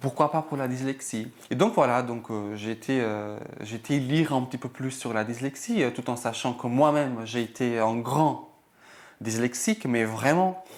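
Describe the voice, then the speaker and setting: At a fairly slow pace, a man with a non-native accent speaks at a medium pitch with ordinary pitch variation. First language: not French (speaking French). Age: 20s. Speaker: health practitioner. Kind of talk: interview. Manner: halting, many fillers.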